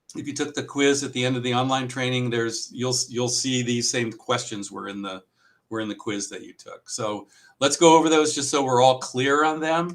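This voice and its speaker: Male speech at a moderate pace and medium pitch, with ordinary pitch variation and big swings in loudness. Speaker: district testing coordinator and trainer. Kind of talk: training presentation. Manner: casual with many filler words.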